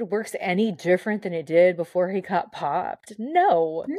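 A woman in a Californian accent speaks with very wide pitch swings. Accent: Californian American. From Southern California, Mexican-American. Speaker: former pro wrestler and radio host. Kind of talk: casual chat. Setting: video call.

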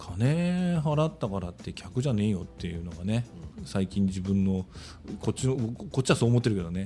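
Speaking at a fairly quick pace, a man uses a dark, mellow tone that is somewhat breathy, with very wide pitch swings. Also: fairly low pitch for a man, very clean recording, silent background. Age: 60s. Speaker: small factory owner. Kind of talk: casual chat.

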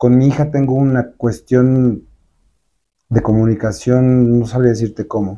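At a fairly slow pace, a man speaks at a medium pitch with a dark, mellow tone and fairly even intonation. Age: 50s. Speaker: entertainment journalist and publicist. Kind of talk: interview.

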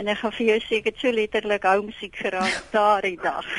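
In a flat monotone, a woman talks at a medium pitch. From South Africa. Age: 70s. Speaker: radio caller. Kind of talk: casual chat. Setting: phone call.

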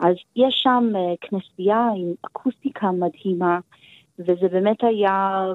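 At a very slow pace, a woman talks with fairly even intonation. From United States. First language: English (speaking Hebrew). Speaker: cellist. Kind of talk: interview. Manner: halting.

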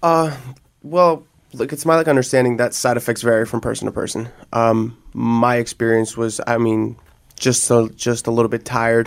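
An unremarkable speaking voice with an American accent, fairly even intonation and a moderate pace. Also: man, medium pitch for a man. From New Jersey. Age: 20s. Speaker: person in addiction recovery. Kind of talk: personal testimony. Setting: studio. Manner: casual, many fillers.

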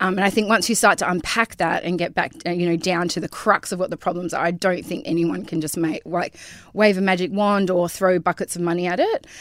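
A woman with an Australian accent speaks at a medium pitch and a fairly quick pace, with fairly even intonation, hardly any pauses, and a dry, close sound with no echo. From Karratha, Western Australia. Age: 40s. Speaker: beautician and business owner. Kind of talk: casual interview chat. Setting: studio. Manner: hesitant, many ums and likes.

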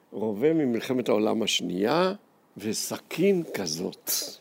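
The man's pitch sits in the middle range. It swings very widely. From Jerusalem, Israel. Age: old. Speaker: historian and educator. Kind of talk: personal testimony talk to students.

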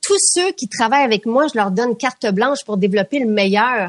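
Dry and close with no echo, a woman with a plain, everyday voice speaks at a moderate pace, her pitch fairly high and her intonation lively. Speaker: beauty products company founder. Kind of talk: interview.

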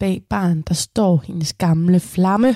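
A woman's voice sits fairly low in pitch, with a dark, mellow tone. The sound is dry and close, with no echo. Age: 20s. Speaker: radio host. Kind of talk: radio presenting. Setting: studio.

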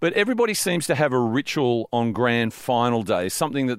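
A man with an Australian accent and medium pitch talks at a moderate pace, recorded with a dry, close sound and no echo. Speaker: radio sports show host. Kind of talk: casual radio banter. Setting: radio studio.

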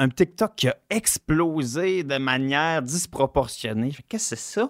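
The recording is very clean, its background silent. A man's voice sounds dry and close, without any echo. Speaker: comedian and game collector. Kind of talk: casual chat.

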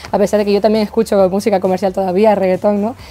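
A woman's medium-pitched voice, very fast and monotone with flat intonation. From Canary Islands (La Palma). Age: 20s. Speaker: singer-songwriter. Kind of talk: interview. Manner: hesitant, with fillers and repetitions.

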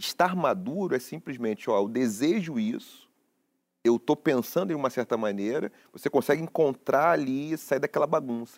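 In a very clean recording with a silent background and a dry, close sound with no echo, a man with a plain, everyday voice speaks at a fairly high pitch and a moderate pace. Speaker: philosopher and professor. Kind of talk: talk show discussion.

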